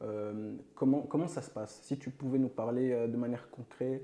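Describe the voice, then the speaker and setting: A man's dark, mellow tone at medium pitch, fairly slow pace, and fairly even intonation. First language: not French (speaking French). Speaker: podcast host. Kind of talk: interview.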